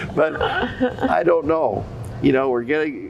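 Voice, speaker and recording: A man is talking. Noticeable background noise can be heard as well. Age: 80s+. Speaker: dairy farmer and businessman. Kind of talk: interview. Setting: dairy expo. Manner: halting.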